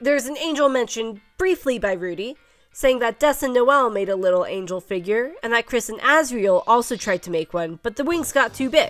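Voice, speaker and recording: Over music in the background, a woman with a fairly high pitch talks at a fairly quick pace with lively intonation. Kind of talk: video essay narration.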